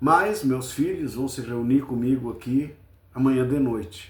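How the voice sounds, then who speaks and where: A somewhat breathy man at medium pitch, in a southern Brazilian accent, at a fairly slow pace. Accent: gaúcho Brazilian Portuguese. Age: 70s. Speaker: football fan commentator. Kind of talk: casual post-match commentary.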